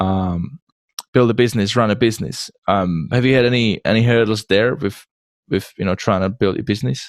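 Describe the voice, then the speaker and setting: A man with a Czech accent talks at a moderate pace in a fairly low pitch, the sound dry and close with no echo. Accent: noticeable Czech accent in English. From Czech Republic. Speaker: podcast host. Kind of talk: interview podcast.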